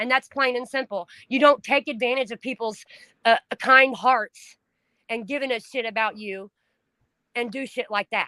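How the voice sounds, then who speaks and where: A woman's high-pitched voice has a bright, sharp tone, fairly even intonation and big swings in loudness, broken by long, frequent pauses. The recording is very clean, with a silent background. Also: moderate pace. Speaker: livestream host, trafficking survivor advocate. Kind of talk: casual chat. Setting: livestream. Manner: emotional, expressive.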